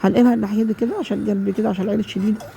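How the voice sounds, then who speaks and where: Noticeable background noise behind a woman's speech. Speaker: home cook. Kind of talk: cooking tutorial. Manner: halting.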